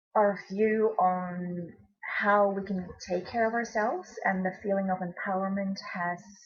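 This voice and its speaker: A woman with a Belgian accent speaks at a medium pitch, somewhat breathy, with fairly even intonation. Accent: Belgian accent, noticeable. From Belgium. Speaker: essential oils presenter. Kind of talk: webinar presentation. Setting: online webinar. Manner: hesitant, many fillers.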